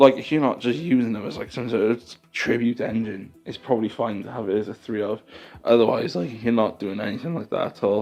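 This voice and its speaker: A man speaks in an unremarkable speaking voice, his pitch medium and his pitch variation ordinary. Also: fairly quick pace. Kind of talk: casual card game news commentary. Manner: casual, chatty.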